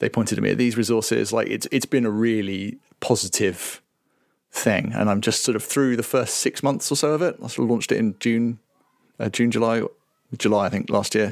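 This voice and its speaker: An unremarkable speaking voice, this man's medium-pitched delivery moves at a fairly quick pace with fairly even intonation in a very clean recording with a silent background. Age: 40s. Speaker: software company CTO. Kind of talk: casual interview.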